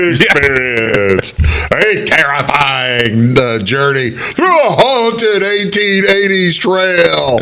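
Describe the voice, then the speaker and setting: Very slowly, a man uses a put-on character voice with a fairly high pitch. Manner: spooky, eerie.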